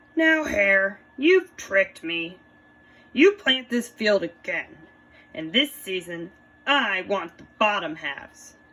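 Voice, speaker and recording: A woman's put-on character voice, medium in pitch and fairly slow. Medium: read story. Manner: slow, grumbling.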